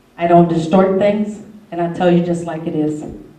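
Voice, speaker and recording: Through audible room echo and noticeable background noise, a woman with an American accent speaks at a moderate pace, fairly low in pitch, with fairly even intonation. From northwest Indiana. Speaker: court interpreter and community activist. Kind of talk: testimony. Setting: community forum with audience. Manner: loud.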